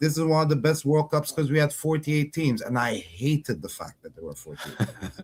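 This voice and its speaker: A man with a fairly high pitch and a somewhat breathy, animated tone speaks at a fairly quick pace with hardly any pauses and ordinary pitch variation. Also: big swings in loudness. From outside the US. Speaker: football podcast co-host. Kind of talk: casual panel discussion.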